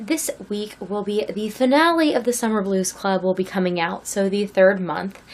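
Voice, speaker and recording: The voice is quiet, at a moderate pace. Its pitch varies in an ordinary way. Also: woman. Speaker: crochet youtuber. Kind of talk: casual vlog talk. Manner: speaking very quietly.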